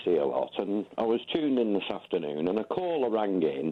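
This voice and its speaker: A man speaks in a Lancashire accent at medium pitch. He moves at a fairly quick pace, with very wide pitch swings. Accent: northern English (Lancashire). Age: 60s. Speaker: caller, ex-military. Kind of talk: radio phone-in.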